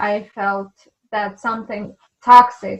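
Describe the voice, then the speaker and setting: Very slowly and in a flat monotone, a woman speaks at a medium pitch with a somewhat breathy sound. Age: 20s. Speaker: patient sharing illness story. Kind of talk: interview testimony.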